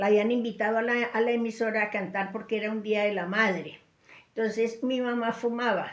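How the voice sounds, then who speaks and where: The delivery comes at a fairly quick pace in a monotone, flat intonation. There is audible room echo. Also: woman, fairly high pitch for a woman. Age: 70s. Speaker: great-grandmother telling paranormal stories. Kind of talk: storytelling interview. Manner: halting, repetitive.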